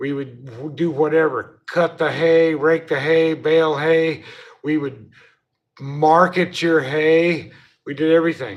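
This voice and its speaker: The speaker is a man with fairly even intonation. He talks at a fairly slow pace. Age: 60s. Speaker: livestreamer and former hay farmer. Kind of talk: casual live stream chat. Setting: hotel room, 24th floor. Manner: halting.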